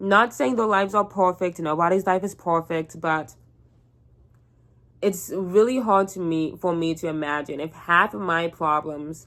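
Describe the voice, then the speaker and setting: In a Southern Californian accent, a woman with a fairly low pitch speaks at a moderate pace. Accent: Valley Girl. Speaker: vlogger. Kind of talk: casual chat. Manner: casual, filler-heavy speech.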